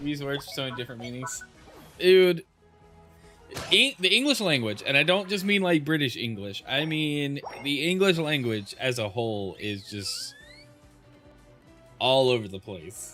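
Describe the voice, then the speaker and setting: With music in the background, a man speaks at a moderate pace in a fairly high pitch, his voice swinging very widely and broken by long, frequent pauses. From Louisiana.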